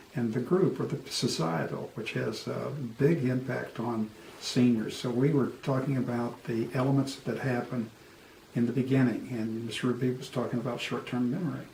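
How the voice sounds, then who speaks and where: A man speaks with ordinary pitch variation over noticeable background noise, with audible echo in the room. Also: medium pitch for a man, moderate pace. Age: 70s. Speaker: co-host discussing aging. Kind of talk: casual chat.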